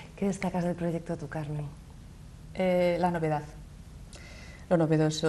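A woman's fairly low voice with flat, monotone intonation. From Vigo, Galicia. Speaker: classical singer. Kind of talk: interview answer. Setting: TV studio. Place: studio. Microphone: lapel.

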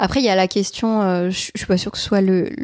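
A woman's medium-pitched voice, dark and mellow in tone, in a dry, close sound with no echo and a very clean recording with a silent background. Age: 30s. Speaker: youtuber and artist. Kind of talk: interview. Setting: at home.

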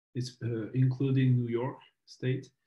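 Somewhat breathy, medium-pitched male voice in a French accent, with monotone, flat intonation. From France. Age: 30s. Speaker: documentary filmmaker. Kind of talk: interview. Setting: video call. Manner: halting.

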